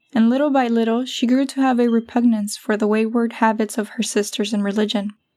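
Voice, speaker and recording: An ordinary speaking voice from a woman, fairly high in pitch, fairly quick, with fairly even intonation. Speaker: audiobook narrator. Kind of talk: religious audiobook narration.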